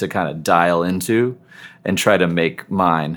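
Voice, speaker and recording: The man's pitch is very deep and low. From Seattle, US Pacific Northwest. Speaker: nerd rock musician. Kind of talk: casual interview chat.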